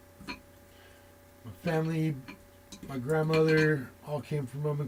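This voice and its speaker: Background noise is noticeable here. The voice belongs to a man. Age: 40s. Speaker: tarot reader. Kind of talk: casual chat. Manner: casual, with many fillers.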